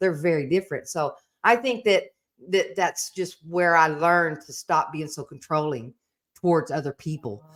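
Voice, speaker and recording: A woman's fairly low voice at a moderate pace, in a very clean recording with a silent background and a dry, close sound with no echo. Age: 60s. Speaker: retired nurse sharing recovery story. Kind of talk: casual conversation. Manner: halting.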